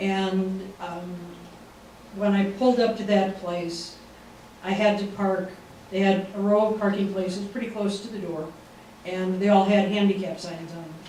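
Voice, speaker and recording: A man's high-pitched, monotone, flat delivery at a moderate pace, with long, frequent pauses, big swings in loudness, audible room echo and noticeable background noise. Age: 60s. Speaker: weight-loss program participant. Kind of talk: testimony. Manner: halting.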